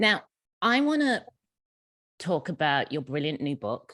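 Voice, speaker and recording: A woman with a very deep, low pitch speaks in an English accent, recorded with a dry, close sound with no echo. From England. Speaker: network leader and moderator. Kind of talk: panel interview. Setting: video call.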